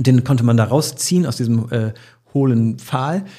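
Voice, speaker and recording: On a very clean recording with a silent background, a man speaks at a medium pitch in a dark, mellow, somewhat breathy tone with ordinary pitch variation. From Bremen, northern Germany. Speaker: radio morning show host. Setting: podcast studio.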